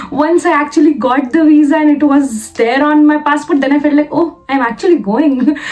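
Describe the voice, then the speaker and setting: A woman with an Indian accent talks at a moderate pace in a high pitch, with fairly even intonation, very even loudness and hardly any pauses. Noticeable background noise sits behind her. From India, Lucknow, Uttar Pradesh. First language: Hindi. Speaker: vlogger, software developer. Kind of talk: personal vlog. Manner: hesitant, many fillers and repetitions.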